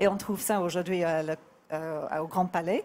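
A woman speaks in a fairly low pitch. Her intonation stays fairly even. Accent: English. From England. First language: English (speaking French). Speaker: artist; guest. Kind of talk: interview. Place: bar. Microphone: handheld.

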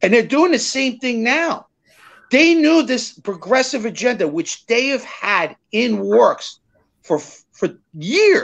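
Over a quiet background, a man with an American accent speaks very slowly in an extremely high voice, his pitch swinging very widely. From New Jersey, Fort Lee; New Jersey. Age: 50s. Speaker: small business consultant and podcast host; podcast host. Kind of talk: casual political interview; interview answer. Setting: live video stream. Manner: animated. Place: home room. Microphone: webcam.

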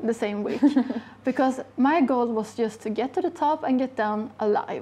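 A dark, mellow tone comes through at a moderate pace with ordinary pitch variation. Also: woman. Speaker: guest. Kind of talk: interview answer. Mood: warm, enthusiastic. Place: shop. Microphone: lapel.

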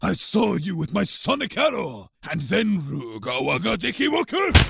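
High-pitched put-on character voice from a man, delivered at a moderate pace

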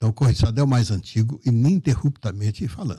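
Against a quiet background, the voice moves at a fairly quick pace with lively intonation and a dark, mellow, somewhat breathy tone. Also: man. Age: 70s. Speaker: journalist and political candidate; journalist, candidate. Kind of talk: radio interview. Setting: radio studio. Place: studio. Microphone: studio mic.

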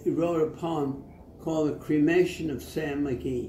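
A man talking at a fairly slow pace, with light background noise and audible room echo. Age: 80s+. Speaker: elderly man reciting poetry. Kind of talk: casual talk about a poet. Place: home room.

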